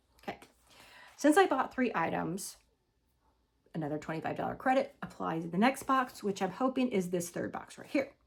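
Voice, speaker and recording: A woman talks at a fairly quick pace with long, frequent pauses and vocal fry. Her medium pitch swings very widely. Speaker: lifestyle vlogger. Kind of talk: casual haul review.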